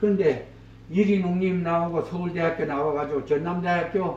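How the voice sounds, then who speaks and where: Audible room echo surrounds a man speaking at a moderate pace in a high voice. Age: old. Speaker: museum guide / chairman of a research society. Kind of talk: guided exhibition tour talk. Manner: casual, storytelling with quoted dialogue.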